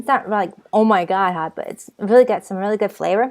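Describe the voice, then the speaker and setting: In a Boston accent, a woman speaks at medium pitch and a moderate pace with an animated tone and ordinary pitch variation. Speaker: vlogger. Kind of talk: casual vlog talk. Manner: rambling, hesitant with repeats.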